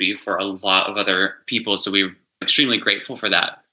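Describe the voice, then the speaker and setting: A man with an American accent speaks at a moderate pace. His tone is bright and sharp. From US South, West Virginia small town. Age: 30s. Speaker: hairstylist. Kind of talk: casual chat.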